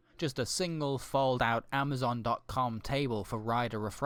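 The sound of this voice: This is an unforced reading voice. It comes across that way throughout.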